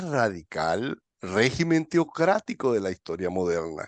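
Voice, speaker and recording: Over a quiet background, a man talks at a fairly slow pace. His pitch swings very widely, and the sound is dry and close with no echo. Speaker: political commentator. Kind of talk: political discussion.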